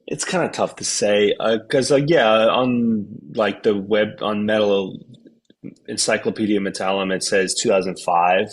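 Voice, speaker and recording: In an American accent, a man with a fairly low pitch talks at a fairly slow pace with ordinary pitch variation. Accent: regular American. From US Northeast, New York City. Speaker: metal band vocalist and guitarist. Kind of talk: interview. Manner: casual.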